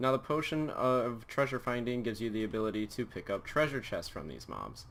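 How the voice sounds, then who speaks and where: Fairly quick delivery from a man with an unremarkable speaking voice, medium pitch and ordinary pitch variation. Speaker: gaming youtuber. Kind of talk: tutorial.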